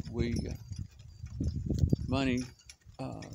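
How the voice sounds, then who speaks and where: Loud background noise, with a dry sound and no echo. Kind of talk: casual vlog monologue. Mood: reflective, critical. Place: open country. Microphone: phone near.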